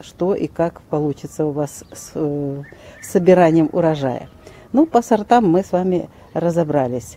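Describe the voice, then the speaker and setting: A woman with an ordinary speaking voice talks fairly slowly at a fairly low pitch, her intonation lively. Her loudness swings widely, and the sound is dry with no echo. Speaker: garden channel host. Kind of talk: tutorial. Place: garden. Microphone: phone near.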